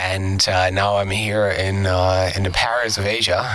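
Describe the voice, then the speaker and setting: Through audible room echo and noticeable background noise, a man talks in a fairly low pitch. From Germany. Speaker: aviation YouTuber. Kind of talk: podcast interview. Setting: studio. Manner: hesitant, many fillers.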